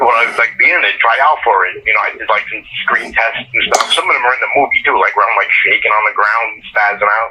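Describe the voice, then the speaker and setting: A man with a New York accent talks at a very fast pace with hardly any pauses. Noticeable background noise runs underneath. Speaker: horror film actor. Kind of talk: interview. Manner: casual.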